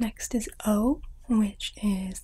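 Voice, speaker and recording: A soft-spoken woman. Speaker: ASMR artist. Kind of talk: ASMR teacher roleplay, language lesson.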